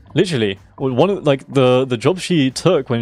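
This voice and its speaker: Over music in the background, a man speaks at a medium pitch. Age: 20s. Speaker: video game streamer. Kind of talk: casual chat. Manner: halting.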